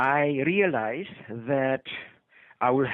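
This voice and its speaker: A man with a Polish accent speaks at a fairly high pitch with ordinary pitch variation. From Poland. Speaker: retired physician. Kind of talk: interview. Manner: halting, many fillers.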